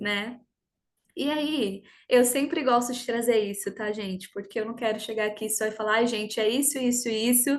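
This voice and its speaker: At a moderate pace, a woman with an ordinary speaking voice talks at fairly high pitch with ordinary pitch variation against a quiet background. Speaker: personal development coach. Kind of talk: online workshop talk.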